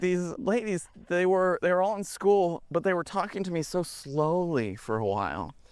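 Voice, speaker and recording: A man speaks in a high pitch. The recording is very clean, with a silent background. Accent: American. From Texas, East Dallas. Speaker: film director. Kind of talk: casual chat. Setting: outdoors.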